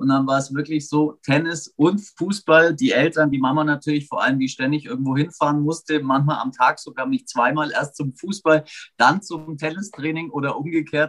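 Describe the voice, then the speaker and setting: At a moderate pace, a man with a fairly high pitch and fairly even intonation speaks in an unremarkable speaking voice, with a dry, close sound and no echo. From Augsburg, Bavaria, Germany. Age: 40s. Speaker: sports commentator. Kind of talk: casual chat.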